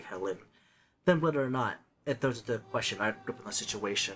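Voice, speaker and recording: A man speaks in a put-on character voice at a medium pitch. His pace is fairly quick. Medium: virtual streamer.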